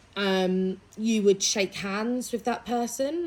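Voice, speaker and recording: There is noticeable background noise. The voice shows ordinary pitch variation. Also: woman. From East Anglia, Suffolk, England. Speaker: English language specialist. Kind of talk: interview.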